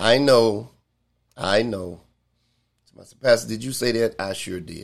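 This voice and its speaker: This man's medium-pitched voice moves at a fairly slow speed, its pitch varying in an ordinary way. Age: 60s. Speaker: pastor. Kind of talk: Bible study teaching. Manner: halting, frequent fillers.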